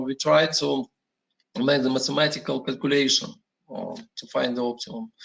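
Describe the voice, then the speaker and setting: A man talks in a Russian accent at a fairly slow pace. His pitch varies in an ordinary way. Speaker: industry energy manager. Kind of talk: panel presentation. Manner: halting, many fillers.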